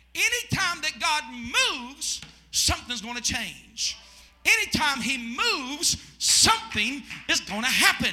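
A man at an extremely high pitch and fairly slow pace, with very wide pitch swings and noticeable background noise. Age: 40s. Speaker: pastor. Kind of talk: Pentecostal evening sermon, call-and-response preaching. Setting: church service with congregation. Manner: fervent, rising preacher cadence with shouted congregation prompts; repetitive, rhythmic emphasis with restarts.

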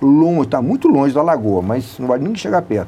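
Speaking fairly quickly, a man has an ordinary speaking voice at a medium pitch. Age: 60s. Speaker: city public works official. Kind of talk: radio interview.

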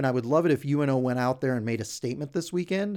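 The recording is very clean, with a silent background. A man speaks in a plain, everyday voice, fairly high in pitch with ordinary pitch variation. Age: 40s. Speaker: hockey fan site founder and podcast co-host. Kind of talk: casual chat. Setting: studio.

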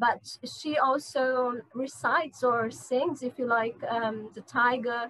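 A woman with a Portuguese accent speaks in a high pitch with fairly even intonation. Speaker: literature researcher and translator. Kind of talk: interview. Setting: video call. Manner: halting.

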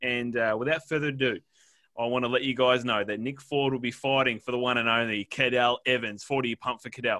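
In an Australian accent, a man talks at a fairly quick pace. His pitch is medium and his intonation monotone and flat. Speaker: podcast co-host. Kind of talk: casual chat. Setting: remote recording, internet issues.

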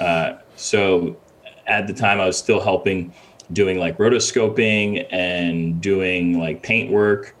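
A fairly low-pitched man at a very slow pace, with fairly even intonation, amid noticeable background noise. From Ghana, then Connecticut from late 90s. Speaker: visual effects supervisor. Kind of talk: casual interview.

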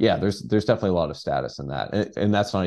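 An American accent colors this man's dark, mellow tone, which carries vocal fry. He talks at a very fast pace with ordinary pitch variation. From Texas (Dallas). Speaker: journalist and author. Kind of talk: interview.

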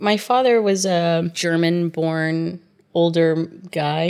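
In a very clean recording with a silent background, a woman with an unremarkable speaking voice talks at a fairly low pitch with fairly even intonation. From Oklahoma (Tulsa), US. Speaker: interviewee. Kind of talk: personal storytelling interview.

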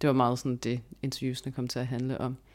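This woman's voice is very deep and low. The recording is very clean, with a silent background. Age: 20s. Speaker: research assistant, anthropologist. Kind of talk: interview. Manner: hesitant, many fillers.

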